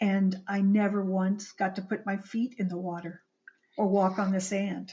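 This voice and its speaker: A woman talks at a moderate pace in a medium-pitched voice. Her tone is dark and mellow, and somewhat breathy. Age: 60s. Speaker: screenwriter and author. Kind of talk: interview. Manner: halting.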